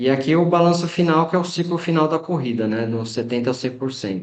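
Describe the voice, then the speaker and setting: The man's delivery moves at a moderate speed. His intonation rises and falls in a lively way. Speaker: running coach. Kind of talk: lecture. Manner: halting.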